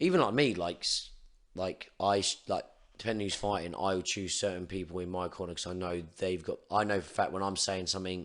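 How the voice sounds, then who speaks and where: With an English accent, a man speaks fairly quickly in a very deep, low pitch, his intonation fairly even against a quiet background. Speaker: Muay Thai coach. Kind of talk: casual chat. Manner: can't shout loud.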